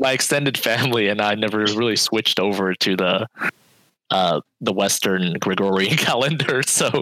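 A man with a plain, everyday voice talks at a fairly low pitch, with ordinary pitch variation and very even loudness. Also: moderate pace. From Vietnamese American, Bay Area, California. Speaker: podcast co-host. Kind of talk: casual chat.

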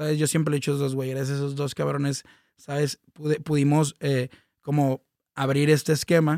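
This speaker has a Mexican accent and a dark, mellow tone. The intonation stays monotone and flat. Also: man, fairly high pitch for a man, moderate pace, dry, close sound with no echo. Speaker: music manager and entertainment consultant. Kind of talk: casual chat.

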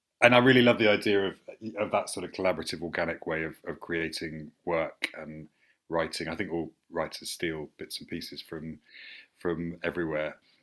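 A man with a southern English accent speaks at a moderate pace, his pitch very deep and low. His pitch variation is ordinary, while his loudness swings widely. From St Albans, southern England. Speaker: theatre director and podcast host. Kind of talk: casual interview. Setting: video call.

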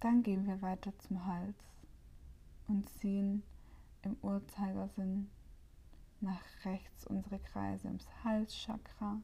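Very slow and calm, a woman speaks in a soothing tone with long, frequent pauses. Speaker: meditation guide and podcast host. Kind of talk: guided meditation. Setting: solo home recording, no guest. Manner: calm, slow and soothing, with long pauses between instructions; gentle, warm and inviting.

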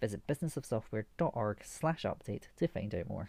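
A man's dark, mellow voice, somewhat breathy, at a fairly quick pace with ordinary pitch variation. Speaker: podcast host. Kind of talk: scripted intro and outro.

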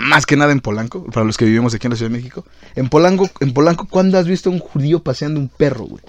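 The man talks at a very fast pace. His pitch is fairly high. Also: lively intonation. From Mexico City. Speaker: podcast host. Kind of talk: casual chat.

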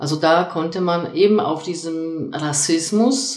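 With a Polish accent and lively intonation, a woman speaks in a room with audible echo and noticeable background noise. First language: Polish (speaking German). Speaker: lecturer and soft skills coach. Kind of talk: casual discussion. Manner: hesitant with many fillers.

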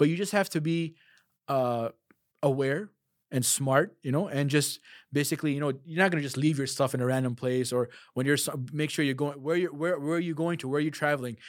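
Talking at a fairly quick pace, a man with a Chicago accent uses a fairly high pitch on a very clean recording with a silent background. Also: ordinary pitch variation. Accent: Chicago American English. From US Midwest, Chicago. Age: 30s. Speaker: Quran teacher. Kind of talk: casual interview.

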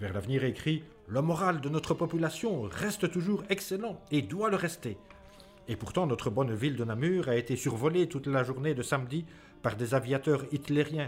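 Solemn tone and lively intonation at a moderate pace, with music in the background. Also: man, fairly high pitch for a man. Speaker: podcast co-host and narrator. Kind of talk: scripted narration of 1940 wartime newspaper text, read aloud. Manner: formal, solemn, measured.

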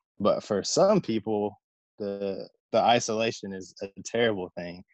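Against a quiet background, a man with an American accent and a normal speaking voice talks at a fairly low pitch with fairly even intonation, the sound dry and close with no echo. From US South, Southwest Virginia. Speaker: air force tech sergeant. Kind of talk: casual interview.

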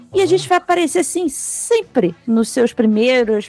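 A woman speaks at a moderate pace in a high pitch with lively intonation. Noticeable background noise sits behind her. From Rio de Janeiro, Brazil. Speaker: podcast co-host. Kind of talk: casual chat.

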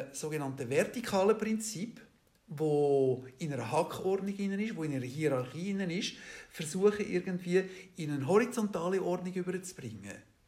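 With lively intonation, a man speaks at a fairly slow pace and a high pitch. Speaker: interviewee. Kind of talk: interview. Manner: hesitant, many fillers.

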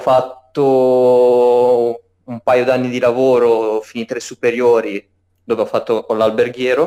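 Very slow, monotone, flat delivery from a man with a dark, mellow tone. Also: medium pitch for a man. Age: 20s. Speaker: cook, meme page admin. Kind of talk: casual chat.

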